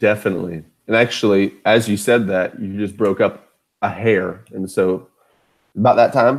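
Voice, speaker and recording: A man with an American accent talks at a moderate pace. His pitch is fairly low and his intonation fairly even. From US Deep South. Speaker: podcast host. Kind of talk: casual chat.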